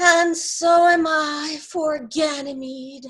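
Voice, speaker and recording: A woman uses a put-on character voice at a high pitch. She talks at a very slow pace with monotone, flat intonation. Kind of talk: amateur Shakespeare reading. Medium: stage play.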